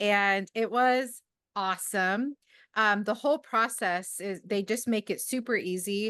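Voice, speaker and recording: Loud and bright with a sharp tone, a woman speaks at a fairly slow pace in a fairly high pitch with ordinary pitch variation over a quiet background. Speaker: amateur astronomer, club member. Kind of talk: casual talk at an online club meeting. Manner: halting, many fillers.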